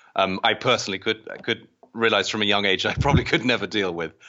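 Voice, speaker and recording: A man with an American accent speaks at a fairly quick pace in a fairly low pitch with ordinary pitch variation. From England. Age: 30s. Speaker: organist. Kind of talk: casual interview.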